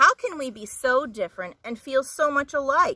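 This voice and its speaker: A put-on character voice with lively intonation at a moderate pace. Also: woman. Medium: read story.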